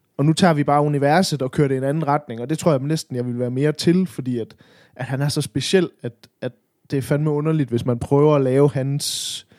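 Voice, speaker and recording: This man has an unremarkable speaking voice, fairly high in pitch and fairly even in intonation, moving at a fairly quick pace in a dry, close recording with no echo. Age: 30s. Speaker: podcast co-host. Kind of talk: casual chat.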